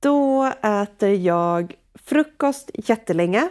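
This woman's voice sits at a medium pitch and carries lively intonation. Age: 30s. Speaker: entrepreneur and author. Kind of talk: casual interview. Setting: remote call.

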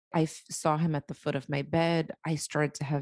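A woman with an American accent speaks at a moderate pace in a very deep, low pitch. The sound is dry and close, with no echo. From US Northeast, Boston. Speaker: psychic medium. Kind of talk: interview.

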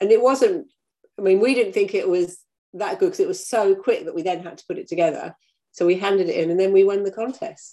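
Here a woman talks with an English accent. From UK. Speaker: crime fiction author. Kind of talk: interview.

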